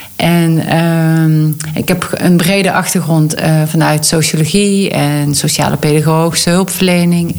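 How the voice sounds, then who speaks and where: With a Limburg accent, a woman speaks in a monotone at a very deep, low pitch. Noticeable background noise and audible room echo are present. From North Limburg, Netherlands. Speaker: convent redevelopment entrepreneur. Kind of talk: interview.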